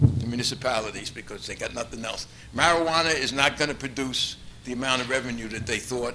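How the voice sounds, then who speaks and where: A man's medium-pitched voice at a very fast pace, with ordinary pitch variation and big swings in loudness, amid noticeable background noise and audible room echo. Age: 70s. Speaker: public commenter at council meeting. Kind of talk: public comment speech. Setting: council meeting hall.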